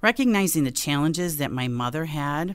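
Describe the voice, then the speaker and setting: A woman's very deep, low voice with an American accent, at a moderate pace, on a very clean recording over a silent background. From South Buffalo, New York. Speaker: health insurance executive. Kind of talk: radio interview.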